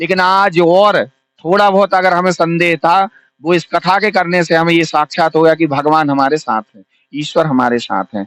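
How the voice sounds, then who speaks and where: The man's voice is high in pitch and moves at a moderate pace. The sound is dry and close, with no echo. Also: ordinary pitch variation. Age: 30s. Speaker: Bhagwat katha preacher. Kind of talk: interview.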